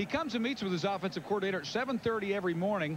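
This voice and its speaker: A man's high-pitched voice, with ordinary pitch variation, comes through noticeable background noise. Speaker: sideline reporter. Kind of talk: live sports reporting.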